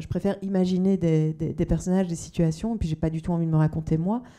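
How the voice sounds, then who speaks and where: A woman's fairly low voice, dark and mellow in tone, with fairly even intonation at a very fast pace. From Belgium. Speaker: novelist. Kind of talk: panel discussion. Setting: book fair talk with audience. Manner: halting, many fillers.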